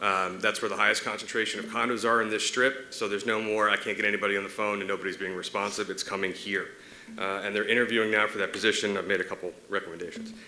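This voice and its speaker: With a monotone, flat intonation, a man speaks very fast in a fairly low voice. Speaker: state legislator. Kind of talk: legislative update to city commission. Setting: city commission meeting.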